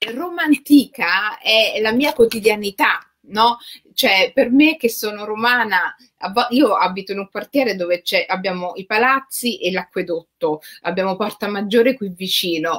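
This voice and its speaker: This woman has a normal speaking voice, pitched fairly high. She talks at a fairly slow pace with lively intonation. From Rome, Italy. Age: 40s. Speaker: writer. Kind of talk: interview conversation.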